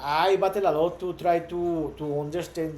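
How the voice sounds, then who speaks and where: In a Spanish accent, a man speaks with fairly even intonation, and audible room echo surrounds him. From Mexico. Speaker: startup founder. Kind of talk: vlog monologue. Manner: halting, many repetitions.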